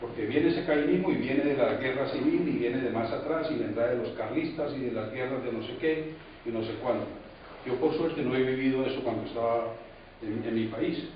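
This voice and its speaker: Speech at a fairly quick pace comes through with audible room echo and noticeable background noise. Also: man. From Colombia. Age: 60s. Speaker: audience member at political talk. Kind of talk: public debate comment. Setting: municipal library talk. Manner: halting.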